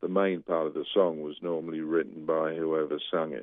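Pitched very deep and low, a man speaks at a moderate pace. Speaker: retired sound engineer. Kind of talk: radio interview.

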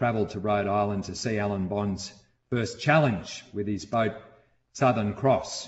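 A man with an Australian accent at a fairly slow pace. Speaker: sailing storyteller. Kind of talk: scripted narration.

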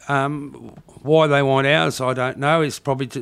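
This man has an Australian accent. He talks at a moderate pace with fairly even intonation. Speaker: podcast guest. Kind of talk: casual chat.

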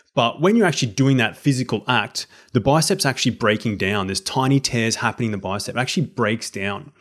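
Very fast, lively speech from a man at medium pitch, with hardly any pauses and a very clean recording over a silent background. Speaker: health and exercise coach. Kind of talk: casual interview chat.

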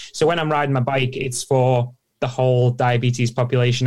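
A man speaks at a medium pitch and a fairly quick pace in a monotone, flat way. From Isle of Man. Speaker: professional cyclist. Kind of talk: interview. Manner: fast.

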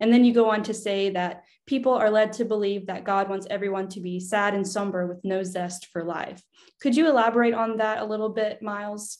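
Speaking at a fairly quick pace over a quiet background, a woman uses an ordinary speaking voice at medium pitch with fairly even intonation. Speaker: podcast host. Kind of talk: interview. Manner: warm.

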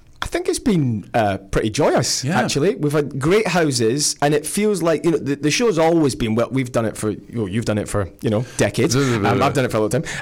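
In a Scottish accent, a man with a fairly high pitch talks at a moderate pace with lively intonation and very even loudness. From Scotland. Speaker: touring comedy stage actor, radio interview guest. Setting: radio studio interview.

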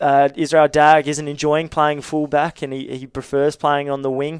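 The speech comes at a moderate pace in an Australian accent. The sound is dry and close, with no echo. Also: man. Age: 20s. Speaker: rugby journalist. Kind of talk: casual chat. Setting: studio.

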